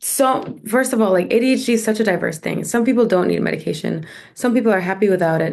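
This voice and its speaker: Speaking very fast, a woman with a medium pitch shows ordinary pitch variation and some vocal fry. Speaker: mezzo-soprano and composer; poet. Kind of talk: interview answer. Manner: casual, conversational.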